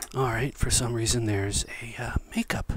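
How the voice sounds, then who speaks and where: A man whispers his words at a moderate pace. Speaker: ASMR video creator and book collector. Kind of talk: ASMR whisper role play, casual talk to camera. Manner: whispered, soft-spoken, friendly. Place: home room.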